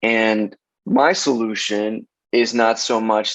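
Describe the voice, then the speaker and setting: A man speaks in a Spanish accent at a medium pitch. The background is quiet, and the sound is dry and close with no echo. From Los Angeles, South Central. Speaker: casting director. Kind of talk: interview conversation.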